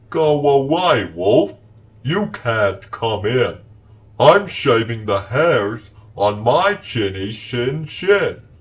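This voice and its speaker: Using a put-on character voice, a man talks very slowly. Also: medium pitch for a man. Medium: short film. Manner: shouting through a door.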